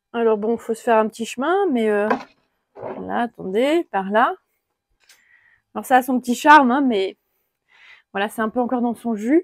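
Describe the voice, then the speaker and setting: At a moderate pace with long, frequent pauses, a woman speaks at a fairly high pitch with ordinary pitch variation, in a very clean recording with a silent background and a dry, close sound with no echo. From France, Alsatian Vosges. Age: 30s. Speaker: carpenter. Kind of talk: casual walkthrough tour. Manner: relaxed, hesitant with fillers.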